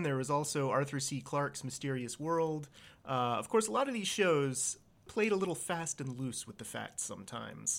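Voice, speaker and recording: Here is a man with a plain, everyday voice and an American accent, at a fairly high pitch. He keeps a moderate pace in a very clean recording with a silent background. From US, Virginia. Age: 30s. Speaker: podcast co-host. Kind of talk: casual chat.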